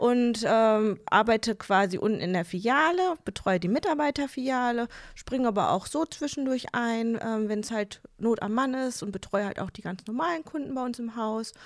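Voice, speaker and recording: An unremarkable speaking voice from a woman, fairly high in pitch, with lively intonation, a moderate pace and hardly any pauses. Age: 30s. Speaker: bank advisor. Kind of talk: casual interview.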